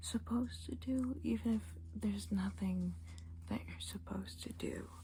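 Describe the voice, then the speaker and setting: Against noticeable background noise, the speaker uses a calm tone at a fairly slow pace. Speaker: ASMR creator, tarot card reader. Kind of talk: ASMR soft-spoken talk to camera. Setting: home recording with a basic camera. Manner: soft-spoken, calm, reassuring.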